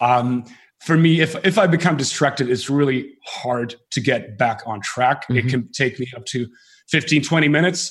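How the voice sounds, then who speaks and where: At a moderate pace, somewhat breathy speech carries ordinary pitch variation. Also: man. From northern Finland. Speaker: entrepreneur and biohacker. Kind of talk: interview. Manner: hesitant with many fillers.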